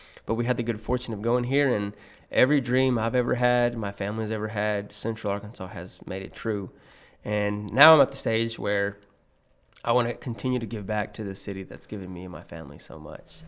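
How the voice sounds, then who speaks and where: In a very clean recording with a silent background, a man talks at a fairly quick pace and fairly low pitch, with ordinary pitch variation and big swings in loudness. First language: Spanish. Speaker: banker and community volunteer. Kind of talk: podcast interview.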